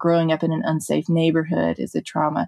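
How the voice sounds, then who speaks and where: A woman speaks with a Mississippi accent at a fairly low pitch. Her intonation is fairly even, and the sound is dry and close with no echo. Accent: Southern US (Mississippi). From US South, Mississippi (Jackson). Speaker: drug policy advocate, nonprofit founder. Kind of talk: interview conversation.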